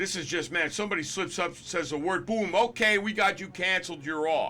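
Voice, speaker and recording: A man talks at a moderate pace with lively intonation. His tone is bright and sharp. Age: 60s. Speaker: gaming commentator. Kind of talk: opinion rant. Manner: animated; halting.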